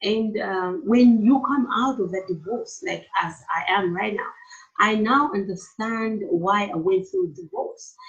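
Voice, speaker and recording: A woman with a Malawian accent speaks at a fairly high pitch with lively intonation. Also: fairly slow pace. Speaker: therapist and entrepreneur. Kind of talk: interview.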